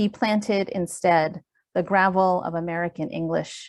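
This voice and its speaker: Speaking at a fairly slow pace, a woman with a fairly low voice keeps her intonation fairly even in a very clean recording with a silent background. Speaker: poet. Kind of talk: poetry reading.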